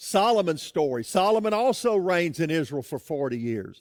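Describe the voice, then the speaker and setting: A loud man's voice with very wide pitch swings, on a very clean recording with a silent background. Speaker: pastor. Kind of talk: sermon.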